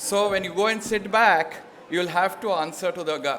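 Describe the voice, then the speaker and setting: A man with an Indian accent talks at a moderate pace amid noticeable background noise. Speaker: panel moderator. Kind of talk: moderating a panel.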